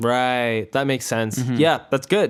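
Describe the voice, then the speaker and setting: In a very clean recording with a silent background, a man uses an unremarkable speaking voice at medium pitch with fairly even intonation. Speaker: podcast host. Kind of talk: casual podcast interview.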